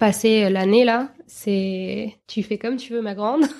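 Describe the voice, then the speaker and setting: At a very slow pace, a woman speaks in a fairly high voice with fairly even intonation. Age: 30s. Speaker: journalist and new mother. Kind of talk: interview testimony.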